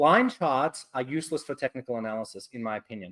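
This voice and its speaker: A male speaker in an Australian accent. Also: dry, close sound with no echo. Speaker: trading educator. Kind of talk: webinar lecture. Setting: webcast. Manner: fast.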